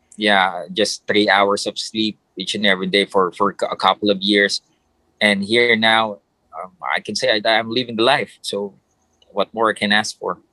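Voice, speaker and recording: A man with a Filipino accent speaks in a fairly low, monotone voice with flat intonation. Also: moderate pace. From Philippines. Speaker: ring announcer. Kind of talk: casual interview. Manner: polite, halting with fillers.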